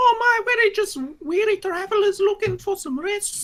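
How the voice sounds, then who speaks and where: Doing a put-on character voice, a man speaks at a moderate pace in an extremely high, squeaky pitch. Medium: actual play. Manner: casual, matey.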